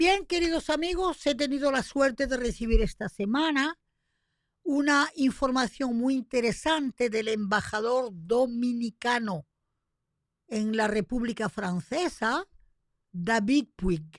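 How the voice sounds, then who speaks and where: Very slow speech with lively intonation, in a dry, close sound with no echo, on a very clean recording with a silent background. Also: woman, high pitch for a woman. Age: 70s. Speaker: radio host. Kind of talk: radio commentary. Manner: animated.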